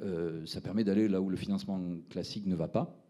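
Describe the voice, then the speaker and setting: A man with a Toulouse accent speaks at a fairly quick pace. His voice has a fairly low pitch and a dark, mellow tone. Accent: southern French (Toulouse). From Toulouse, southern France. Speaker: startup founder presenting. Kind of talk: pitch presentation at a round table. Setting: round table event with audience. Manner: hesitant, many fillers.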